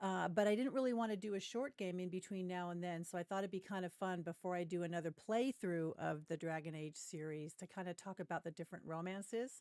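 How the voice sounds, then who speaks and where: A woman with a West Coast US accent talks at a very fast pace with hardly any pauses. Her medium pitch shows ordinary variation, and the sound is dry and close with no echo. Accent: General American, West Coast. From US West Coast, Ventura County, Southern California. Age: middle-aged. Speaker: gaming streamer. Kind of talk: casual livestream chat. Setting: livestream.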